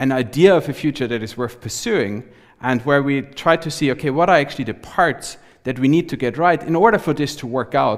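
A man's voice rises and falls with lively intonation against a quiet background. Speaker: guest lecturer. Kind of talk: lecture. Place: hall. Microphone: headset.

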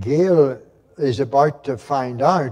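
A man is talking. His pitch moves normally, and behind him all is quiet. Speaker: minister giving a children's talk. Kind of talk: children's talk in a sermon. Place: church.

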